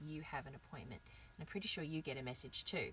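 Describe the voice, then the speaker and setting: Her voice is somewhat breathy. This woman speaks at a fairly low pitch. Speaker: online English teacher. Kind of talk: live stream talk. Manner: animated.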